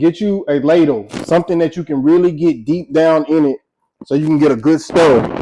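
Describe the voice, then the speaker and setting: A man's plain, everyday voice, fairly high-pitched, with ordinary pitch variation and a moderate pace. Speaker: home cook. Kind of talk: cooking tutorial. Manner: casual, filler-heavy.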